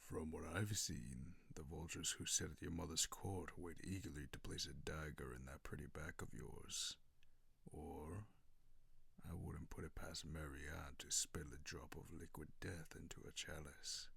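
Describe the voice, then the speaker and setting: Whispering in a put-on character voice, a man talks at a moderate pace. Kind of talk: ASMR roleplay. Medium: solo performance. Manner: low, silky, mocking.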